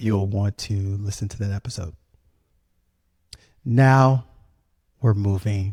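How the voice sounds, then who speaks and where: A somewhat breathy man with an American accent, fairly low pitch, a dark, mellow tone and fairly even intonation. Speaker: podcast host. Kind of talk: casual podcast narration. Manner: many fillers and restarts.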